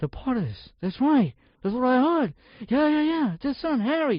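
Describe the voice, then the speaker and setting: In a put-on character voice, a man speaks at a moderate pace with extremely high pitch, his voice raised and projected and its loudness very even. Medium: read story. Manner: excited, hushed.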